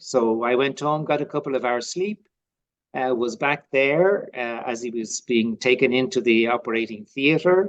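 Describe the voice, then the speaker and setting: Here a man talks at a moderate pace and medium pitch in a Dublin accent. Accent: Irish (Dublin). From Ireland, Dublin. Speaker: lay religious community member. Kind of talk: personal testimony interview. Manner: halting, many fillers.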